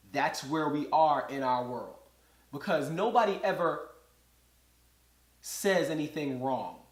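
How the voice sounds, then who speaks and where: In a room with audible echo, a man speaks fairly slowly in a fairly high pitch, with ordinary pitch variation. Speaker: podcast host. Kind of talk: solo monologue commentary.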